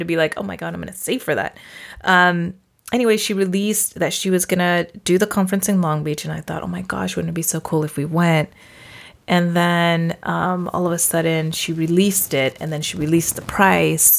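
A woman speaks at a fairly quick pace with a fairly low voice and ordinary pitch variation. The recording is very clean, with a silent background. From California Central Valley. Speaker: podcast host, social worker. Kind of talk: casual chat.

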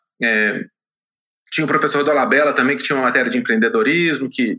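Here a man speaks at a fairly quick pace. His tone is bright and sharp. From Minas Gerais, Brazil (Belo Horizonte). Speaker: tech entrepreneur. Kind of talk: interview.

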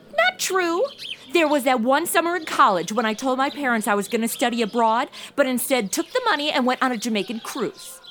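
Fairly quick, animated speech with lively intonation and music in the background. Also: woman, high pitch for a woman. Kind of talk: comedic radio-drama parody, modern snark over old Western. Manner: sarcastic, animated, quippy.

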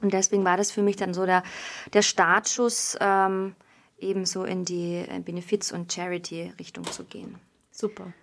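A woman speaks at a medium pitch and moderate pace in a monotone, flat intonation, with big swings in loudness. The recording is very clean, with a silent background. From Bavaria. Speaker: musical theatre performer. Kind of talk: casual interview.

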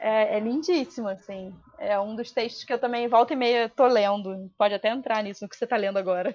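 A woman speaks at a fairly quick pace with fairly high pitch and an ordinary speaking voice. Her loudness swings widely while her pitch varies in an ordinary way. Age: 30s. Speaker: poet and translator. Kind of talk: casual chat.

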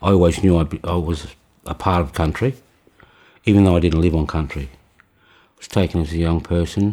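In an Australian accent, a man speaks with a very deep, low pitch and a dark, mellow tone, fairly even intonation, and a moderate pace. His loudness swings widely, long pauses come often, and the recording is very clean with a silent background. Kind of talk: interview testimony. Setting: healing house in rural community. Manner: halting.

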